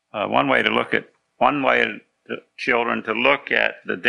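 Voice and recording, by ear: A natural voice reading aloud against a quiet background.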